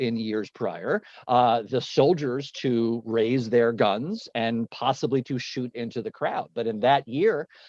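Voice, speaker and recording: Against a quiet background with a dry, close sound and no echo, a man speaks at a medium pitch with ordinary pitch variation. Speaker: educator and webinar host. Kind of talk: casual conversation. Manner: fast.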